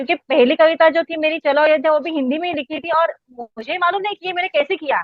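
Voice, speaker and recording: Her pitch extremely high, a woman with a Marathi accent talks at a moderate pace with ordinary pitch variation and hardly any pauses. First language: Marathi (speaking Hindi). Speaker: poet, record holder. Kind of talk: interview. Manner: halting.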